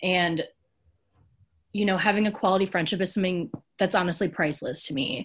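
A woman talks at a fairly quick pace with a somewhat breathy voice, leaving long, frequent pauses over a quiet background. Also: medium pitch for a woman, ordinary pitch variation. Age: 20s. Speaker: preschool teacher. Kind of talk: casual chat.

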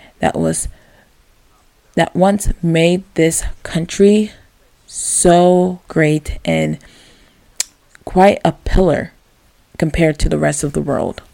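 This woman talks at a very slow pace. She leaves long, frequent pauses. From US, Maryland. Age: 20s. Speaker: podcast host. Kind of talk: solo podcast monologue.

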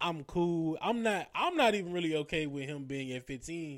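Over a very clean recording with a silent background, a man talks at a moderate pace. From St. Louis, Missouri. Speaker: podcast host. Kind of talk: casual chat. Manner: animated.

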